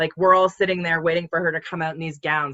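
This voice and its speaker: This is a woman talking. She has a Canadian accent. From Ontario, Canada. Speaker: small business owner. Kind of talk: casual chat. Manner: loud.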